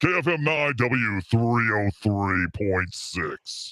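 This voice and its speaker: Very slow speech from a man doing a put-on character voice at a medium pitch. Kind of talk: radio announcer.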